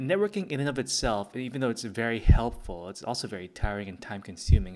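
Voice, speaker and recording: A man speaks at a very fast pace, his pitch fairly low with ordinary variation. The recording is very clean, with a silent background. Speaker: podcast host and comic creator. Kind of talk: casual solo podcast talk. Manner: hesitant, many fillers; quiet.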